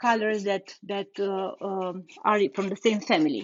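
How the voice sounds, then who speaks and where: Speaking at a moderate pace, a woman with a non-native accent has a medium pitch. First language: not English. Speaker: furniture painter and content creator. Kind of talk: live tutorial. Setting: livestream. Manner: halting, many fillers and repetitions.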